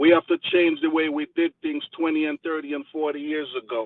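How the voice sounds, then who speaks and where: A man with a Jamaican accent at a moderate pace. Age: 50s. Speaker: community member giving a speech. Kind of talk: motivational speech.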